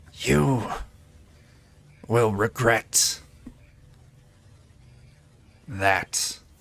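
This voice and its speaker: A raspy, put-on character voice. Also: man, fairly low pitch for a man. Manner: hissing, threatening.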